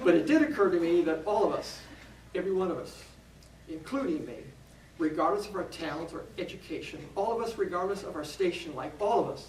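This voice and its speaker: Lively intonation at a very fast pace, with noticeable background noise and audible room echo. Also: man, high pitch for a man. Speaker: minister. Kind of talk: talk to a church audience. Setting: church.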